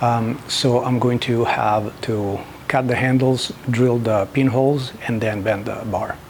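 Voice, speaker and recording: Over noticeable background noise, a man speaks at a fairly slow pace with fairly even intonation and a strong Italian accent. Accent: thick Italian. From Italy. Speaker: knifemaker. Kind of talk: tutorial. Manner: halting, many fillers.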